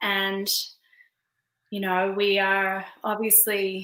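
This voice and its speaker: A woman with an Australian accent, bright and sharp in tone, at medium pitch. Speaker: author and women's spiritual coach. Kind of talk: video interview.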